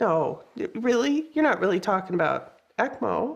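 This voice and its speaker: Using a put-on character voice, a woman talks at a moderate pace in a squeaky, high-pitched delivery full of very wide pitch swings. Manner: incredulous.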